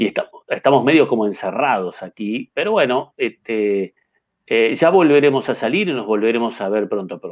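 The speaker has a Uruguayan accent, and the background is quiet. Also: man, moderate pace. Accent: Uruguayan Rioplatense Spanish. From Uruguay, Carmelo. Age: 50s. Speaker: chess master and federation president; interviewee. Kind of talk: interview. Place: home room. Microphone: webcam.

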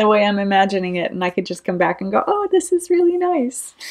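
A woman speaks against a quiet background. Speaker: knitting vlogger. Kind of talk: casual vlog chat. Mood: warm, cheerful, laughing. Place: home room. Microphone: webcam.

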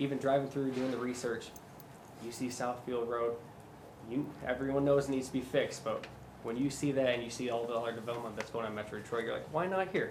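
A man with a Michigan accent at a very fast pace, medium in pitch, with fairly even intonation and audible room echo. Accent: US Midwest (Michigan). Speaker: job candidate for city administrator. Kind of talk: job interview.

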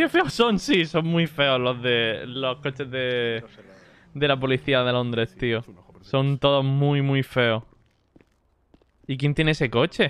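Very slow and broken by long, frequent pauses, a man's speech keeps a medium pitch and fairly even intonation. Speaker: streamer playing roleplay game. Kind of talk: live gaming stream chat.

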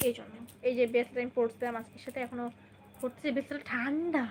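The tone is animated. It is also bright and sharp. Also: woman. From Bangladesh, Kushtia. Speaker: vlogger. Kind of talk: livestream chat with viewers.

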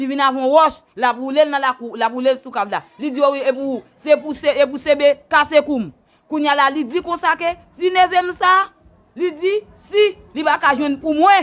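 A woman speaks in a high voice at a moderate pace with ordinary pitch variation. Her loudness swings a lot. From Haiti. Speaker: bereaved relative interviewed; interviewee. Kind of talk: testimony. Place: home room. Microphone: lapel.

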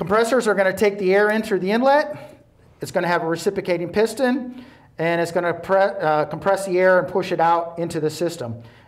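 The background is quiet as a man talks at a fairly quick pace. His pitch is high and his intonation lively. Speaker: presenter. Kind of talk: tutorial. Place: studio. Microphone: lapel.

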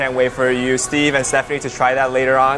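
A man speaks over noticeable background noise. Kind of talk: guided tour talk. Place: cafe. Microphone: lapel.

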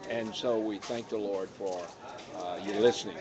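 Noticeable background noise sits behind a man talking in an American accent. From United States. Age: 60s. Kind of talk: live talk show. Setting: live stream recorded on a tablet. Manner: folksy.

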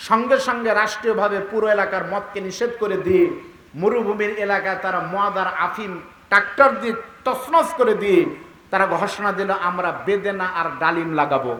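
Projecting in a raised voice, a man speaks at a high pitch. His pitch variation is ordinary, and there is noticeable background noise. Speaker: Islamic preacher (waz speaker). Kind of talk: Bangla waz sermon to a crowd. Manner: oratorical, rhetorical, emphatic.

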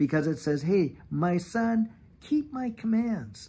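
Here a man talks at a fairly slow pace with lively intonation. His voice is somewhat breathy. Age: 50s. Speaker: YouTube channel host. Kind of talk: devotional talk. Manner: animated. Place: garden. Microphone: phone near.

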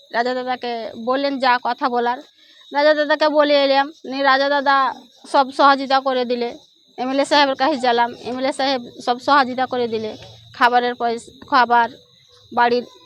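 A woman talks in a high pitch with monotone, flat intonation. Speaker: villager, mother of injured man. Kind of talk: testimony.

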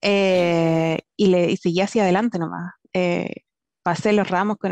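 A woman's voice comes through a quiet background, dry with no echo. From southern Chile, Temuco; Chile. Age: 20s. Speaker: software engineer. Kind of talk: personal story talk. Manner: halting, many fillers. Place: home room. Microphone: headset.

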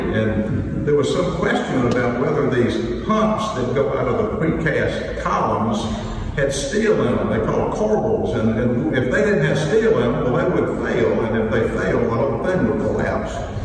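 With a fairly high pitch and very wide pitch swings, a man talks at a moderate pace with hardly any pauses, amid noticeable background noise and strong room echo. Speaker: lawyer giving a funeral eulogy. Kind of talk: eulogy at a funeral, anecdotal talk. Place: church. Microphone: podium.

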